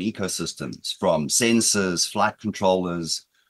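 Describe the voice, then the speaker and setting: A man with an American accent speaks at a moderate pace against a quiet background. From South Africa, Britain and the United States. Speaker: cybersecurity expert, former police officer. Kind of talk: conference presentation. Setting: conference hall. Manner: energetic.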